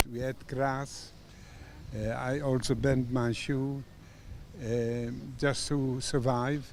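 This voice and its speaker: Flat, monotone intonation from a man of medium pitch with a dark, mellow tone, in audible room echo. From Poland. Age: 90s. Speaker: Holocaust survivor. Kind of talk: interview testimony. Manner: halting.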